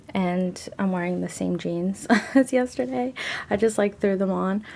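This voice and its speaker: A soft-spoken woman, somewhat breathy, with a medium pitch, a dark, mellow tone, and a moderate pace. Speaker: lifestyle vlogger. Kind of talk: casual vlog.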